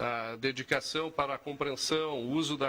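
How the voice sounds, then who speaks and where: This is a plain, everyday voice from a man. He speaks at a fairly high pitch with fairly even intonation. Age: 60s. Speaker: think tank founder. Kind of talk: TV interview.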